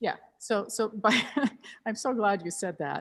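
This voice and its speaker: With a non-native accent, a woman talks at a moderate pace with ordinary pitch variation. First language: not English. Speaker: pianist and piano teacher. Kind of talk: masterclass teaching. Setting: video call. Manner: hesitant, repeats words.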